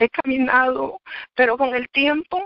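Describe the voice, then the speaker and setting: This woman speaks at a fairly slow pace in a high pitch, with ordinary pitch variation. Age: 60s. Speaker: church member giving testimony. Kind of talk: testimony.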